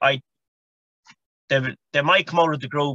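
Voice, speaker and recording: A man speaks with a Galway accent. The sound is dry and close, with no echo. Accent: Galway Irish. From Ireland, County Galway. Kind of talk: casual sports chat.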